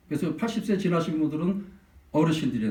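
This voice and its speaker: A man speaks in a high pitch with audible room echo around him. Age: under 65. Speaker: pastor. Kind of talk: sermon. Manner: animated.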